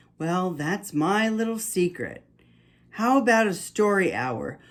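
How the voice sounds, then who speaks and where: A man puts on a character voice, pitched high. His tone is gentle and warm, and he speaks at a fairly slow pace. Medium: read story. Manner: gentle, warm.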